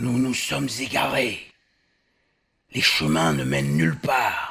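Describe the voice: A man performs a cartoonish character voice, raspy and very deep, with very wide pitch swings. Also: fairly slow pace.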